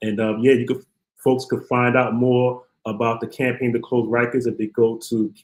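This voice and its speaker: With a Brooklyn accent, a man speaks at a moderate pace in a monotone, flat delivery. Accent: Brooklyn New York. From Brooklyn, New York. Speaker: criminal justice activist, former prisoner. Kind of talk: interview.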